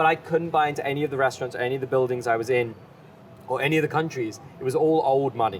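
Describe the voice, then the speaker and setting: Noticeable background noise sits under a man with a British accent. He speaks very fast in a medium pitch with ordinary pitch variation. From England, London. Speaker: chef and farm business partner. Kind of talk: podcast interview. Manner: animated.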